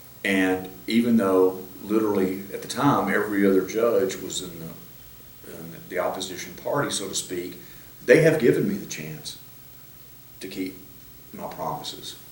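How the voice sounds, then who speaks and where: A man with a fairly low voice talks at a moderate pace, with ordinary pitch variation and big swings in loudness. Room echo is audible, and background noise is noticeable. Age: 60s. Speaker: judge. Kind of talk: interview. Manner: halting.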